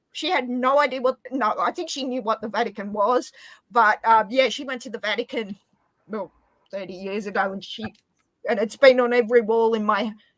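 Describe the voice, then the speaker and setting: The sound is dry and close with no echo, the loudness swings widely, and the pace is fairly quick. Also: woman. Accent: Australian. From Australia. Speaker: live stream guest. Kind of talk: casual chat.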